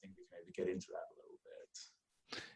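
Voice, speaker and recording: With a slight Danish accent, a man speaks at a fairly quick pace. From Denmark. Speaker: real estate investor. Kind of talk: podcast interview.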